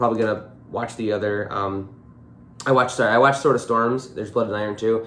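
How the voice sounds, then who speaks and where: Audible room echo surrounds a man's voice. He talks at a medium pitch and a very fast pace. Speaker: YouTuber reviewing media. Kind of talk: casual monologue review. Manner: reading from notes.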